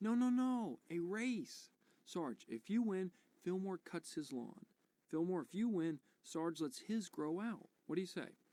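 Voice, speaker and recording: Someone speaks at a fairly slow pace in a put-on character voice. The pitch sits in the middle range. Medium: video game.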